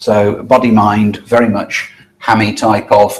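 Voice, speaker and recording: A man speaks in a fairly low voice. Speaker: lay preacher giving a talk. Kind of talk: lecture. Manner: halting.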